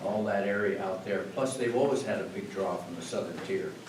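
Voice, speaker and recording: Room echo is audible. Background noise is noticeable too. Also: man. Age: 80s+. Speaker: retired public health officer speaking as resident. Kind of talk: public comment at village board meeting. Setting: village board meeting. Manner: halting, many fillers.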